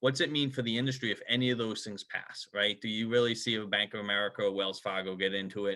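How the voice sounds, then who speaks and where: A man speaks with a Boston accent. His pace is fairly quick. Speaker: HR company founder. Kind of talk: sponsor interview.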